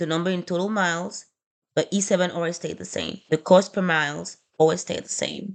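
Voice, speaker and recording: Against a quiet background, a woman with a non-native accent speaks at a fairly quick pace and fairly low pitch, her intonation fairly even and her voice showing vocal fry. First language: not English. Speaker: small trucking business owner. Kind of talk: screen-recorded spreadsheet tutorial. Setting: screen recording on laptop. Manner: casual, hesitant with fillers.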